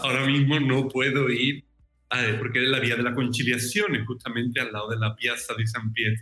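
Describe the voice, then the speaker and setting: At a moderate pace, a man speaks in a plain, everyday voice at medium pitch with fairly even intonation. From southern Spain, Cádiz (Andalusia). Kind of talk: interview conversation.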